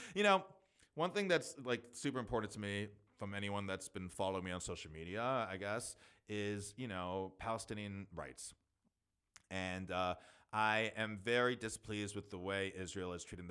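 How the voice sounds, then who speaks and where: A man's bright, sharp tone at a fairly low pitch, with ordinary pitch variation and a moderate pace, on a very clean recording with a silent background. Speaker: solo podcast host. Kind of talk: casual solo podcast monologue. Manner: halting with fillers.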